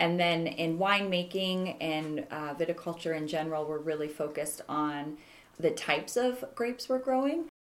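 Speaking at a moderate pace, a woman uses lively intonation. Her pitch is fairly low. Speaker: wine trade association executive director. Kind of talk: casual interview. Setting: office.

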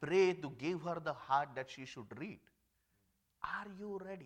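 In a raised, projected voice, a man speaks at a moderate pace with a high pitch and a bright, sharp tone. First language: not English. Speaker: lay preacher. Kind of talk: sermon. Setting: church.

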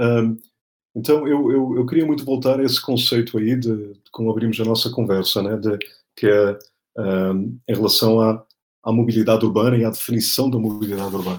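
A man talks in a normal speaking voice at a medium pitch with fairly even intonation. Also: moderate pace. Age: 40s. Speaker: political scientist and speaker. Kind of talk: interview.

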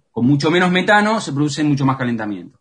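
A man talks in a bright, sharp tone with lively intonation. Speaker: forest researcher. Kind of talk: radio interview. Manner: halting.

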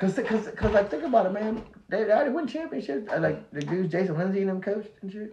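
Over noticeable background noise, a man with a high voice for a man speaks very fast with lively intonation. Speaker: company founder and podcast guest. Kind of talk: casual chat. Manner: repetitive, halting.

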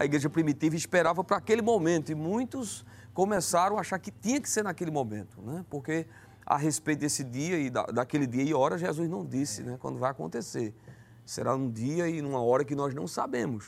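An unremarkable speaking voice talks at a fairly quick pace with lively intonation. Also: man, fairly high pitch for a man. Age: 30s. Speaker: evangelist. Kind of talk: religious talk show discussion.

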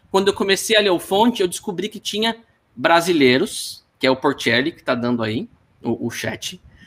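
A man's voice sits high and moves at a moderate pace. His pitch swings very widely. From Paraná, Brazil (Apucarana). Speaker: software engineer. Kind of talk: casual interview. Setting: live stream. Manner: repeats words often.

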